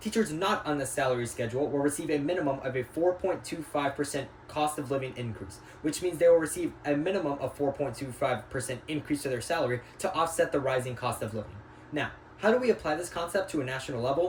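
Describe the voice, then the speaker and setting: A man speaks at a very fast pace, his pitch fairly high with ordinary variation. Noticeable background noise runs behind him. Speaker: student. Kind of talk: class presentation. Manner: halting.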